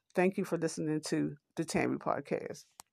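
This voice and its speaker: Against a quiet background, a woman with a very deep, low pitch and vocal fry speaks at a moderate pace. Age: 50s. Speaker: podcast host. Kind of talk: motivational monologue. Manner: halting.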